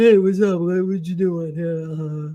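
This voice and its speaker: A woman in a put-on character voice speaks at a moderate pace, her pitch fairly low and her intonation fairly even. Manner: dopey, casual.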